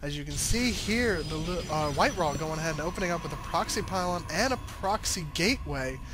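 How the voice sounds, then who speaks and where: A man talks over noticeable background noise. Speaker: esports shoutcaster. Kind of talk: video game match commentary.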